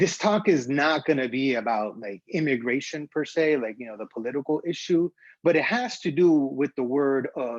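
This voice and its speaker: Loudness swinging widely, a man with a Spanish accent speaks at a moderate pace and a fairly high pitch, with lively intonation. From Honduras, Tegucigalpa. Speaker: graphic designer. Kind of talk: conference talk. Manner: halting, many fillers.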